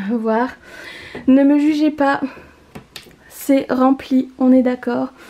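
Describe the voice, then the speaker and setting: A very slow, high-pitched delivery from a woman, her intonation fairly even. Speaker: YouTuber, expectant mother. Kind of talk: home tour vlog.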